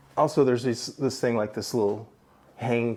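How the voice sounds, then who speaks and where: A man's medium-pitched voice with vocal fry, at a fairly quick pace and with ordinary pitch variation. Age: 60s. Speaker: painter. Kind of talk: casual video tour. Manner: halting, many fillers and repeats.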